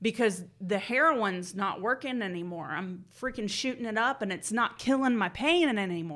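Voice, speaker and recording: With an American accent, a woman with an unremarkable speaking voice and fairly high pitch talks at a moderate pace with hardly any pauses. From Georgia, US South (Marietta). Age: 30s. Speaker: recovering addict sharing her story. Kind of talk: personal testimony interview.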